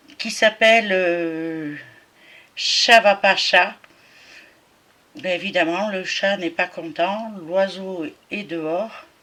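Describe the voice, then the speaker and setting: A woman speaks at a medium pitch with ordinary pitch variation. Her pace is very slow, broken by long, frequent pauses. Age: 60s. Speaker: cross-stitch vlogger. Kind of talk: casual craft show-and-tell vlog. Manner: hesitant, many fillers.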